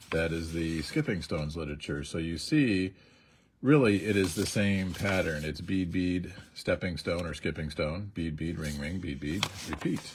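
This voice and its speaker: Somewhat breathy, a man talks with a very deep, low pitch. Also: fairly even intonation, moderate pace. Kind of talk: livestream tutorial. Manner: casual, halting.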